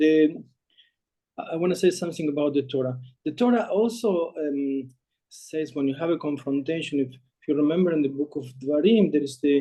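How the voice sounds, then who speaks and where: Ordinary pitch variation runs through a dark, mellow tone delivered in a non-native accent. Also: man. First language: not English. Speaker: rabbi. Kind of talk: short sermon on a Talmudic text. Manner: halting, many fillers.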